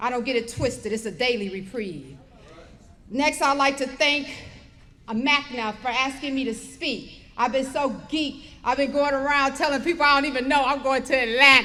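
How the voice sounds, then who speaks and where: A woman projects a raised voice with a bright, sharp tone and high pitch, keeping fairly even intonation at a moderate pace amid audible room echo. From Detroit, Michigan, US. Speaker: recovery speaker. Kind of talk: testimony. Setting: stage with audience.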